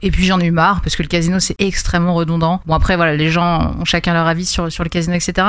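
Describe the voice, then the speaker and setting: Talking at a very fast pace with hardly any pauses, a woman keeps a fairly low pitch, very even loudness and a monotone, flat intonation. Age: 20s. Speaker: streamer and fantasy football card manager. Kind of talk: casual interview.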